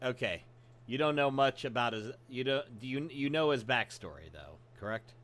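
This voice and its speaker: A man with a plain, everyday voice speaks at medium pitch with fairly even intonation and big swings in loudness. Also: moderate pace. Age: 40s. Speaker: streamer and podcast host. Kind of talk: casual chat.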